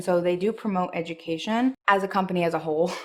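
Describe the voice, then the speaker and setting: A woman with medium pitch speaks with a Montreal accent. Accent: Montreal English (Canadian). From Montreal, Quebec, Canada. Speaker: anti-MLM vlogger, former barista. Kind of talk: casual vlog commentary. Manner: animated.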